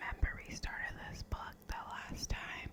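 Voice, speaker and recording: Someone whispers over noticeable background noise. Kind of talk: whispered ASMR fact reading. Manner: whispered, soft, relaxing.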